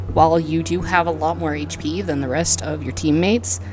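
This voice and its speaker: Moderate pace against noticeable background noise. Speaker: gaming video creator.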